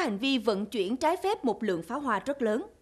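Her pitch swinging very widely, a woman keeps to a moderate pace. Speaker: news anchor. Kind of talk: news reading. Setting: studio. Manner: formal. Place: studio.

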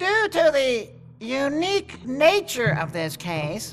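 In a cartoonish character voice, the speaker moves at a slow pace with very wide pitch swings.

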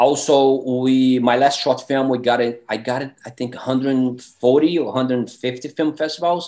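Against a quiet background, a man with a Portuguese accent speaks at a very slow pace with hardly any pauses, a dark, mellow tone and flat, monotone intonation. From Brazil. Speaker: independent filmmaker; guest. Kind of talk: interview. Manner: halting, many fillers. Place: home room. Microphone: video call.

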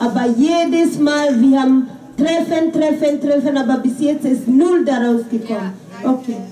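A high-pitched woman's voice at very even loudness, with audible room echo and noticeable background noise. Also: ordinary pitch variation, fairly slow pace. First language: not German (speaking German). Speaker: volunteer refugee activist. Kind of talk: press conference statement. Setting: press conference.

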